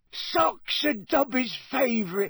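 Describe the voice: Squeaky and extremely high-pitched, a man uses a put-on character voice with a husky, rough edge, vocal fry, a fairly bright tone, lively intonation and a slow pace.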